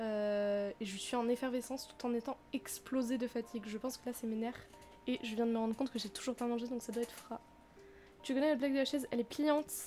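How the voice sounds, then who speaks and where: Very fast delivery with fairly even intonation. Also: woman, high pitch for a woman. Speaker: streamer. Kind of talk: let's play live stream.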